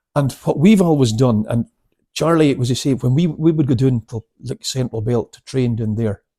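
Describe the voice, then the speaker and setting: A man's somewhat breathy voice with a Scottish accent, medium in pitch, with a dark, mellow tone, big swings in loudness, ordinary pitch variation, a moderate pace, and dry, close sound with no echo. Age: 60s. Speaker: karate instructor. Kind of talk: casual chat.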